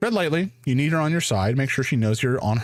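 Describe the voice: Someone does plain reading aloud.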